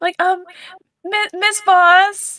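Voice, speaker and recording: A woman puts on a squeaky character voice at an extremely high pitch, delivered in a flat monotone. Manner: fake crying voice.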